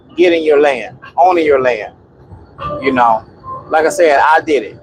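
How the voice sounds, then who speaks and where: The speech moves at a fairly slow pace with ordinary pitch variation over noticeable background noise. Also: man. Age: 50s. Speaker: off-grid homesteader vlogger. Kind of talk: casual monologue vlog. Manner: rambling with many fillers.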